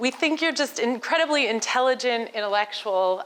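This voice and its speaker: A woman with an American accent speaks in a plain, everyday voice, at a fairly high pitch with ordinary pitch variation. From United States. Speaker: entrepreneur and speaker. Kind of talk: conference talk. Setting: stage with audience. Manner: conversational, interactive with audience.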